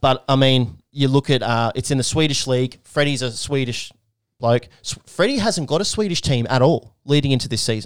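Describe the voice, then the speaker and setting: A man speaks with an Australian accent. His pace is moderate and his pitch varies in an ordinary way. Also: medium pitch for a man. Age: 20s. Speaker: podcast host. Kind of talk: casual chat.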